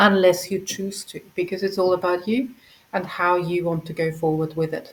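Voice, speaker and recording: Moderate-paced female speech with a non-native accent. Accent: noticeable non-native. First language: not English. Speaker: project founder handling funding. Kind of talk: community call presentation. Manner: hesitant, with fillers.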